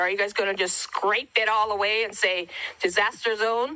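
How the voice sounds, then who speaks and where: Bright and sharp in tone, a woman speaks at a moderate pace with a fairly high pitch. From Hawaii. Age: 60s. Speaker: wildfire survivor. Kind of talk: public testimony.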